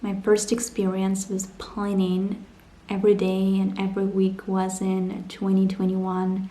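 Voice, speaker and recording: A woman speaks at a fairly slow pace in a medium pitch, her intonation monotone and flat. Audible room echo and noticeable background noise come through. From Ukraine, Donbass. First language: Ukrainian or Russian. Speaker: vlogger. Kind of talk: personal vlog narration.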